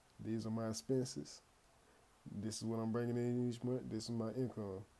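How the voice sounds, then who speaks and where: A man talks at a fairly quick pace in a dark, mellow tone. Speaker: finance YouTuber. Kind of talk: casual tutorial. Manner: occasional stutter; casual, conversational.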